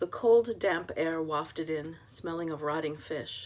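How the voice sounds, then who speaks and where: A woman with a fairly low pitch and an American accent speaks with ordinary pitch variation in a plain, everyday voice. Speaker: author. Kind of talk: reading aloud; casual chat.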